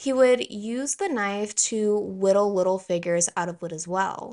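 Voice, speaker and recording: Against a quiet background, a woman with a Southern US accent speaks at a moderate pace and medium pitch. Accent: Southern American. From US South. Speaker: true crime YouTuber. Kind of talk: scripted narration.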